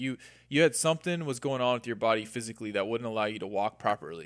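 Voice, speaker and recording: A man with an American accent talks at a very fast pace and medium pitch. His pitch varies in an ordinary way, and the recording is very clean with a silent background. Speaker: podcast guest. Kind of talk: casual conversation. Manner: animated.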